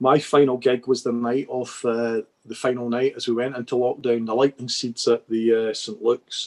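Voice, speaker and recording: A man talks with a Dundee accent at medium pitch. His pace is moderate. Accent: Scottish (Dundee area). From Scotland. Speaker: music photographer. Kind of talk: casual chat. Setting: video call.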